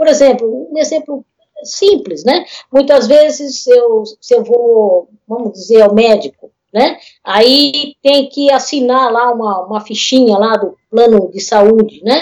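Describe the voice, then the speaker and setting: A woman's high voice at a very slow pace, with lively intonation. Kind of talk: casual interview on a livestream. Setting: video call livestream.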